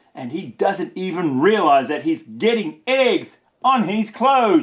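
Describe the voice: Slowly and with big pitch swings, a man speaks at a high pitch with a slightly husky edge.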